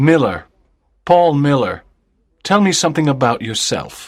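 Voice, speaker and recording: On a very clean recording with a silent background, a man uses a put-on, robotic character voice at a fairly high pitch and moderate pace. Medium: read story. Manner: cold, emotionless, robotic.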